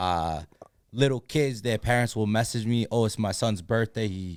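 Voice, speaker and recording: A moderate-paced man's voice, fairly low, with ordinary pitch variation, in a very clean recording with a silent background. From Massachusetts, Lawrence. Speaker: sports superfan and social media personality. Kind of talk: casual podcast chat.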